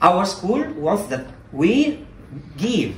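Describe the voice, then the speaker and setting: A man's voice swings very widely in pitch, with audible room echo around it. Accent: Italian. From Italy. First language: Italian. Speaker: Latin and Greek teacher. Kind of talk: conference talk. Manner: halting.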